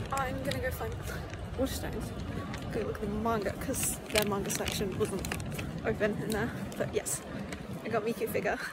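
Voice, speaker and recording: With crowd noise behind her but a dry sound with no echo, a woman speaks at a fairly quick pace. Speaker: cosplayer vlogger. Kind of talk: casual vlog chat. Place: street. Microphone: phone near.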